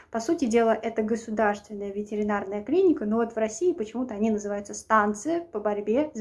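The pace is fairly quick. The voice is a woman's. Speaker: vlogger. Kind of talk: casual vlog advice. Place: home room. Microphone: phone near.

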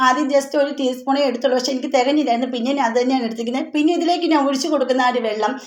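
Recorded with audible room echo and noticeable background noise, a woman speaks in a high pitch with fairly even intonation. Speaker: YouTube tips channel host. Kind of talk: tutorial. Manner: conversational, chatty.

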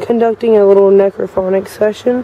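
A woman speaks with monotone, flat intonation in a dry sound with no echo, with light background noise. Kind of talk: casual vlog narration. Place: waterside. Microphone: phone near.

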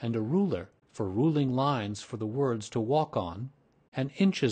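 The speaker reads aloud in a natural voice.

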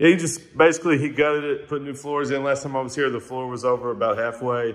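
Very fast speech with ordinary pitch variation over a quiet background. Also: man. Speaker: visiting barber vlogger. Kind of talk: casual vlog chat, shop tour. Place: shop. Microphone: phone near.

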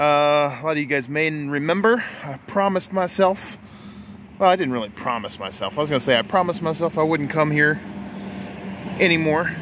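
There is noticeable background noise, though the sound is dry with no echo. A man talks at a moderate pace with ordinary pitch variation and long, frequent pauses. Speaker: toy hunting vlogger. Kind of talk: casual vlog chat. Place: shop. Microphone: phone near.

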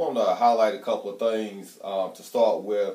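A man speaks at a moderate pace, and audible room echo can be heard. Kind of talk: announcement to students. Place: office. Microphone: camera far.

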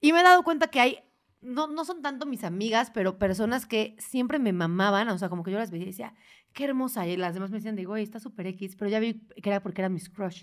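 On a very clean recording with a silent background, a woman speaks very fast at a fairly high pitch with lively intonation. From Mexico, Puebla. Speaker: podcast host. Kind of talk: casual chat.

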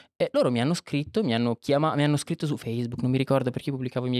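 A man is heard in a dry sound with no echo. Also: quiet background. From Monza, northern Italy; Italy. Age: 20s. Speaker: filmmaker; podcast guest. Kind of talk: casual chat. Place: studio. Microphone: studio mic.

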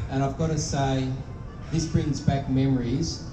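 Noticeable background noise sits behind a man whose intonation stays fairly even. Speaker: politician giving a speech. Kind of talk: public speech. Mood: solemn, grave. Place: stage. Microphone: pa.

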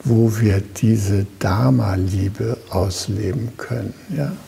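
Noticeable background noise accompanies a man with a fairly low voice. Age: 70s. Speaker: Zen teacher. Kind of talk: dharma talk.

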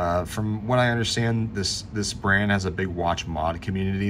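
Speaking at a fairly quick pace, a man uses ordinary pitch variation over noticeable background noise. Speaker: watch reviewer. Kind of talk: casual product review commentary. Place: home room. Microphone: phone near.

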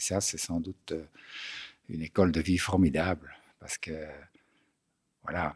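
A man speaks with a very deep, low pitch and a monotone, flat intonation. His pace is fairly slow, broken by long, frequent pauses. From Belgium, Brussels. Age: 60s. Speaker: polar explorer. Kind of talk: interview. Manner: halting, many hesitations.

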